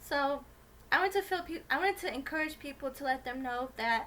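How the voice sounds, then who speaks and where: A soft-spoken woman talks at a moderate pace. Her tone is bright and sharp. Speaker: YouTuber. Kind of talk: casual vlog monologue. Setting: home video recording with ring light.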